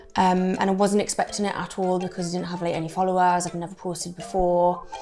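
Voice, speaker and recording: Against noticeable background noise, a woman speaks very fast in a Geordie accent. Her medium-pitched voice has monotone, flat intonation. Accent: North East England (Geordie). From English Midlands. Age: 20s. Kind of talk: interview answer.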